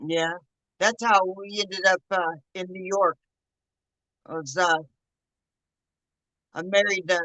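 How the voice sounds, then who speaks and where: A woman speaks with a Southern accent in a bright, sharp tone and fairly even intonation. The sound is dry and close, with no echo. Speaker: livestream host, home painter and canner. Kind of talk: casual chat. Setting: late-night livestream from art studio.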